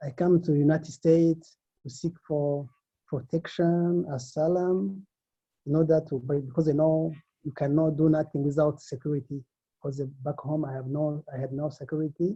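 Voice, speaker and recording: Fairly high-pitched for a man, this speaker has a dark, mellow, somewhat breathy tone and fairly even intonation at a moderate pace. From Africa. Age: 40s. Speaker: recently released immigration detainee. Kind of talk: testimony. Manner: halting.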